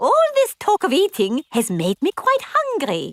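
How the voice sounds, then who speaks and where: A cartoonish character voice with a gentle tone and high pitch moves along at a moderate pace. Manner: polite, gentle.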